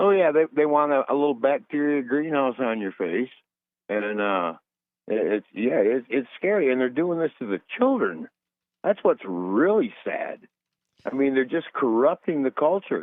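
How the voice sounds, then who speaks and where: At a moderate pace, a man talks in a fairly high pitch with very wide pitch swings. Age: 60s. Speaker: caller. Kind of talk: call-in talk radio.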